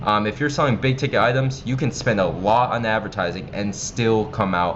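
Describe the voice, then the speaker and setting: Amid noticeable background noise and audible room echo, a man with an American accent talks at a fairly quick pace, his medium pitch varying in an ordinary way. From United States. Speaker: online marketing instructor. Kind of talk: tutorial. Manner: casual, with many filler ums.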